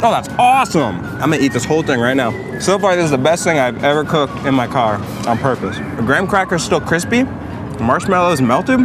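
A man talks at a fairly quick pace over background music, the sound dry with no echo. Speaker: news site video host. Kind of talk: casual taste-test commentary. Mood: playful, jokey. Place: street. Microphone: camera far.

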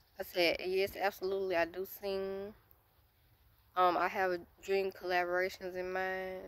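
With an American accent, a woman speaks in a monotone, flat intonation at a medium pitch, leaving long, frequent pauses, and the sound is dry with no echo. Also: moderate pace. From United States. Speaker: YouTuber; vlogger. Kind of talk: casual Q&A vlog. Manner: hesitant, many filler words. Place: forest. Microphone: phone near.

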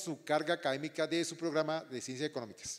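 Over a quiet background, a man talks at a very fast pace in a high pitch. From Colombia. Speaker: retired army officer and language department director; presenter. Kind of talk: orientation talk to students. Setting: auditorium with student audience. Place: stage.

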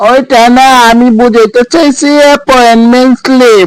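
A cartoonish character voice with a fairly high pitch talks at a moderate pace. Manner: brisk, businesslike.

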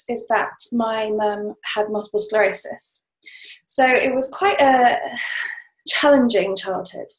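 The speech moves at a fairly slow pace with ordinary pitch variation. Audible room echo sits over a quiet background. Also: woman. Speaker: podcast interview guest. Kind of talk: interview answer. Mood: warm, reflective storytelling. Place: home room. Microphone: webcam.

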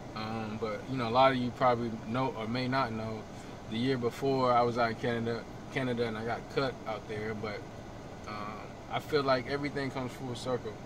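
There is noticeable background noise as a man talks at a fairly quick pace. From US South, Sanford, Florida; Florida. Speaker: basketball player and vlogger. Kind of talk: casual vlog. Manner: animated. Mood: reflective. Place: car. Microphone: camera far.

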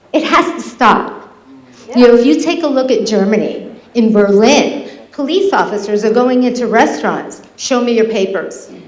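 Lively intonation over noticeable background noise, with audible room echo. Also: woman. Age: 50s. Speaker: public commenter at legislature meeting. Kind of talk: public comment speech. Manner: impassioned.

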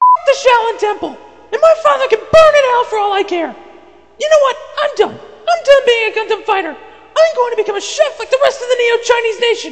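An extremely high-pitched, put-on character voice delivers its lines at a fairly quick pace. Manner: angry, shouting.

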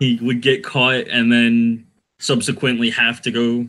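At a fairly slow pace, a man is speaking. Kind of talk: casual interview answer. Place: home room. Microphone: earbuds.

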